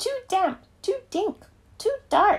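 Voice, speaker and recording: The put-on character voice is squeaky and extremely high. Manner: complaining, fussy.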